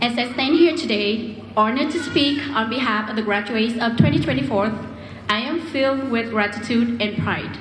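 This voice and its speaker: Over noticeable background noise and audible room echo, a woman with a Vietnamese accent speaks at a fairly high pitch and a moderate pace. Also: ordinary pitch variation. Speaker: graduating student speaker. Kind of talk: commencement speech. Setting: stage with audience.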